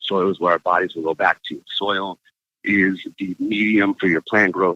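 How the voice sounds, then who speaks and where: A man with a fairly low pitch speaks at a fairly slow pace. His is a normal speaking voice. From Arizona. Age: 20s. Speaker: cannabis grower and plant educator. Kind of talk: interview. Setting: remote interview from roadside.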